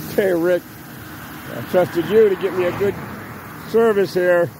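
The voice moves at a moderate pace over noticeable background noise, with a dry sound and no echo. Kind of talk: casual vlog chat. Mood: nervous, wry. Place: street. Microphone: phone near.

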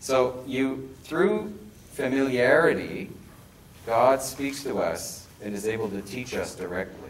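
In a Montreal accent, a man with a medium pitch talks at a fairly slow pace with lively intonation. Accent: Canadian English, Montreal. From Quebec. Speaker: bishop giving seminar. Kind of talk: lecture. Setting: stage with audience. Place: meeting room. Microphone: camera far.

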